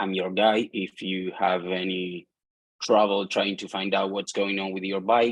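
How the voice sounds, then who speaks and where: A man talks at a fairly slow pace in a fairly low pitch. His intonation is monotone and flat. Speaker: trade association executive director. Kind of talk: webinar panel discussion. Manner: halting.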